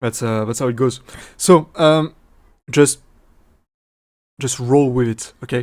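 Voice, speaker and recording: A man talks at a moderate pace and a medium pitch. His intonation stays fairly even. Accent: strong French. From France. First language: French. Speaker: streamer and AI VTuber developer. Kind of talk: live stream Q&A. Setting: live stream with chat. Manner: halting, many fillers and restarts.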